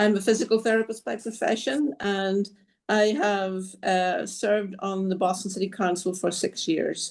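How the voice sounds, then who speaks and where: Against a quiet background, a woman with a Northern Irish accent speaks at a medium pitch and moderate pace, her pitch varying in an ordinary way. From Northern Ireland. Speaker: city councillor and candidate. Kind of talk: political forum statement. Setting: video call.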